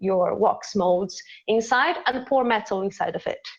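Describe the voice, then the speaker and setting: Speaking in a Portuguese accent, the voice moves at a fairly slow pace with lively intonation. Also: woman. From Brazil. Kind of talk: casual chat, demonstration. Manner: halting, searching for English words.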